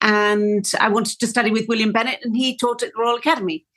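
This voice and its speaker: A woman's fairly high, bright, sharp voice with a Welsh accent. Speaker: flautist. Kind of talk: interview.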